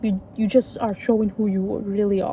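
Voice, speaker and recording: This is a woman speaking at a fairly high pitch. Noticeable background noise is present. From Turkey. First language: Turkish. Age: 20s. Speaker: youtuber. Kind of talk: casual vlog talk. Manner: halting.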